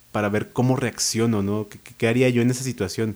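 A man's dark, mellow voice. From Mexico, Naucalpan (State of Mexico). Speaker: writer. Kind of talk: interview. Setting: studio.

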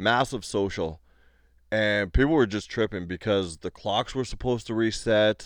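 Over a quiet background, a man talks at a moderate pace in a fairly low pitch. His is an unremarkable speaking voice with ordinary pitch variation. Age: 30s. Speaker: podcast co-host and comedian. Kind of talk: casual chat. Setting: home recording.

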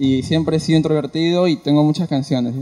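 This man's voice sits fairly high. Its pitch moves up and down in an ordinary way. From Ica, Peru. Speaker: audience member, aspiring singer. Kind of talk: audience testimony.

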